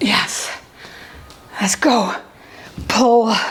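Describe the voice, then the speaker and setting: The tone is energetic. Background noise is noticeable. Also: woman. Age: 60s. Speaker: fitness instructor. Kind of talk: live fitness class instruction. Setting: live class with students. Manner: energetic, coaching cues while exercising.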